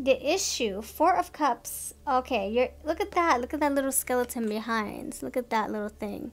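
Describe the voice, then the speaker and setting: Faint music plays in the background as a woman with a high pitch speaks at a moderate pace. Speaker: tarot card reader. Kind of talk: casual tarot reading commentary. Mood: amused, playful.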